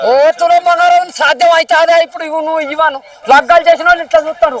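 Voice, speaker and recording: A man speaks at an extremely high pitch in a monotone, flat intonation. The sound is dry and close with no echo, and noticeable background noise is present. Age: old. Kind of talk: street interview answer. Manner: emphatic, emotional.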